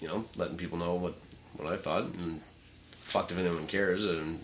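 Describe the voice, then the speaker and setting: Very deep and low, a man's voice races at a very fast pace with audible room echo. The intonation is monotone and flat. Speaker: podcast co-host. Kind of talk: casual chat. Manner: halting.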